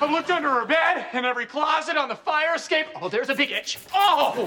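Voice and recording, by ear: With faint background noise behind him, a man does a put-on character voice at an extremely high pitch, with a bright, sharp tone, lively intonation and a fairly quick pace.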